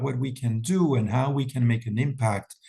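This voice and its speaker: A man with a French accent talks at a moderate pace in a medium, somewhat breathy voice with ordinary pitch variation. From France. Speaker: wellness event founder. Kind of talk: webinar presentation. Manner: talkative.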